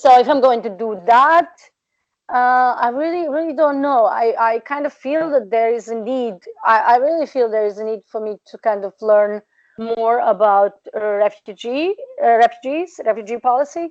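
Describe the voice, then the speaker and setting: Moderate pace and ordinary pitch variation from a woman with a high pitch. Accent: Serbian. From Serbia (Balkans). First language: Serbian. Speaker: researcher and PhD candidate. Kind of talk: interview. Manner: hesitant, many fillers.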